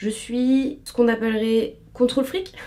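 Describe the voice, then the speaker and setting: Fairly high in pitch, a woman's voice carries a dark, mellow tone. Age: 20s. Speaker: lifestyle and beauty youtuber. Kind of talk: casual vlog chat while doing makeup.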